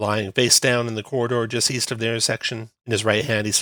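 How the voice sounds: In a quiet background, a natural reading voice can be heard.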